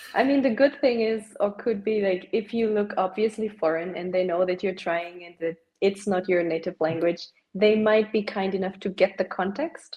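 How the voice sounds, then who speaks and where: Speaking at a moderate pace with a German accent, a woman has a medium pitch and ordinary pitch variation. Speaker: podcast guest, maker. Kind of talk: casual chat.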